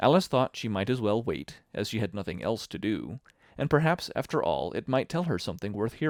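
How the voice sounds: Lively intonation runs through the clip. The reading voice is natural.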